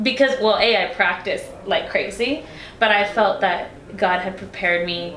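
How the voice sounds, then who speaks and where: Noticeable background noise and audible room echo surround the recording. A woman talks at a medium pitch. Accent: American. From Texas, El Paso. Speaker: singer. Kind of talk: casual chat.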